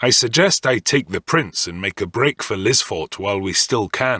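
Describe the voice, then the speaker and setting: A man speaks at a moderate pace in a put-on character voice. His pitch sits in the medium range. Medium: read story. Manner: dry, confident.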